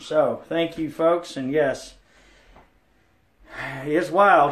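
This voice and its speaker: A man speaks with fairly even intonation in a room with audible echo. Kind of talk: casual vlog chat. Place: bathroom. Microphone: phone near.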